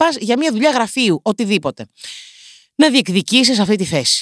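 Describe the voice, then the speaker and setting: A woman speaks at a moderate pace in an animated tone with very wide pitch swings. Her sound is dry and close, with no echo. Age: 20s. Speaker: podcast host. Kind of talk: comedic monologue.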